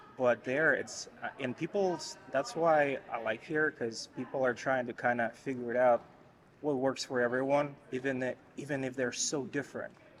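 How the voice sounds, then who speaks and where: The speaker has a Russian accent. Their intonation stays fairly even. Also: man, medium pitch for a man, moderate pace. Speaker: interviewee. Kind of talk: casual chat. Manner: halting.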